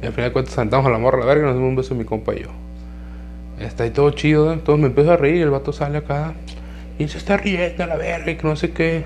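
A man talks at a very fast pace with a Mexican accent, music playing in the background. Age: 20s. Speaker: podcaster. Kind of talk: casual monologue.

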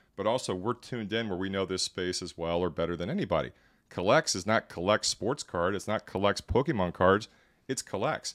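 A man talks fairly quickly in a normal speaking voice, fairly low in pitch with ordinary pitch variation. The recording is very clean, with a silent background and a dry, close sound with no echo. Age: 40s. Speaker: venture capitalist and entrepreneur. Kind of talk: casual interview. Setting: podcast studio.

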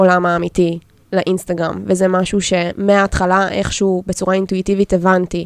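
A woman at medium pitch speaks at a moderate pace with monotone, flat intonation and very even loudness, in a dry, close sound with no echo. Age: 20s. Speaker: illustrator and graphic designer. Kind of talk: casual chat.

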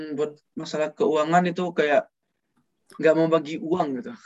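The man's voice sits at a fairly high pitch. His intonation stays fairly even. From Padang, West Sumatra. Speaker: student cosmetics business owner. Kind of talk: casual interview chat.

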